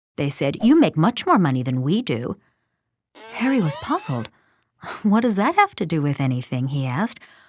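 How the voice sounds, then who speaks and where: A woman talks at a fairly quick pace in a plain, everyday voice. The recording is very clean, with a silent background. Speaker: actress. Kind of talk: animated story narration.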